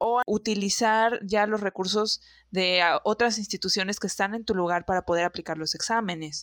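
A woman's medium-pitched voice at a moderate pace with fairly even intonation, in a dry, close sound with no echo. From Xalapa, Veracruz, Mexico. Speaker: podcast host. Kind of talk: casual chat. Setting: video call.

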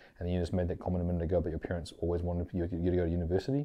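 Flat, monotone speech delivered at a very fast pace in a New Zealand accent. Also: man. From New Zealand, West Auckland. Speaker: podcast host. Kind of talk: casual interview. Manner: hesitant, many fillers.

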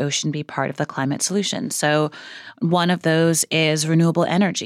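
At a moderate pace, a woman speaks in a plain, everyday voice with a fairly low pitch and fairly even intonation. The sound is dry and close with no echo, in a very clean recording over a silent background. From US Northeast, Brooklyn New York. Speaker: marine biologist and policy expert. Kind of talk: interview conversation. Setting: studio.

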